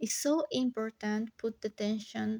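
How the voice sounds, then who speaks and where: Speaking at a very slow pace with a Spanish accent, a woman with a fairly high pitch sounds dry and close with no echo on a very clean recording with a silent background. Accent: non-native English, Spanish. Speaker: watercolor artist, vlogger. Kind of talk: casual tutorial voiceover. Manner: halting, many fillers.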